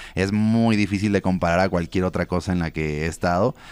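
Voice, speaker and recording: A man speaks with a Mexico City accent in a very deep, low voice. His pace is fairly quick. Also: dry sound with no echo. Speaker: freestyle rapper; interview guest. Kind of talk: interview. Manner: casual slangy. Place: studio. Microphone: studio mic.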